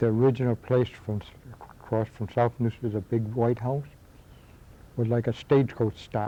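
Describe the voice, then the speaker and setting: A man with a western New York accent talks at a moderate pace and medium pitch. His intonation stays fairly even, broken by long, frequent pauses. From western New York, Akron area. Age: old. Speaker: local history interviewee. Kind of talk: oral history interview. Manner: halting.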